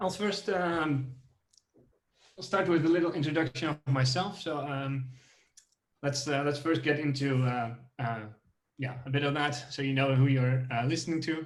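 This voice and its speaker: There is audible room echo as a man speaks at a fairly high pitch and a moderate pace. His pitch variation is ordinary, and he takes long, frequent pauses. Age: 20s. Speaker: software engineer. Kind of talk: tech talk. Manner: halting, many fillers.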